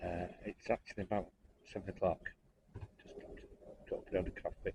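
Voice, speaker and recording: A man talks quietly. His pace is fairly quick. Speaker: narrowboat vlogger. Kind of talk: casual vlog.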